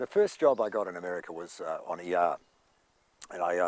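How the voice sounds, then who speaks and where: This man speaks with a New Zealand accent. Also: dry, close sound with no echo. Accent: New Zealand accent, kept. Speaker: actor. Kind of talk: interview anecdotes. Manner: hesitant, many fillers.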